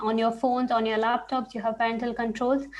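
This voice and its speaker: A woman talks in an ordinary speaking voice, fairly high in pitch. Her intonation stays fairly even. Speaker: research scientist giving a webinar. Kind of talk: webinar talk.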